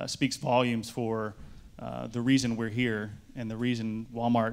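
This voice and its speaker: A man's voice carries an audible room echo. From US. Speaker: corporate sustainability director. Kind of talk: conference panel talk.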